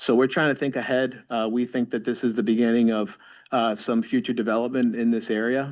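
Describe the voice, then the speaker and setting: A man talks at a fairly quick pace and medium pitch, his intonation monotone and flat. His loudness stays very even over a quiet background. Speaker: architect presenting a project. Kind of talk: project presentation at public meeting. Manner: fast.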